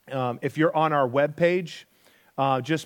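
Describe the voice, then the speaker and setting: This man has a normal speaking voice, pitched fairly high, with ordinary pitch variation and a moderate pace. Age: 40s. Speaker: pastor. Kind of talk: sermon. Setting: church.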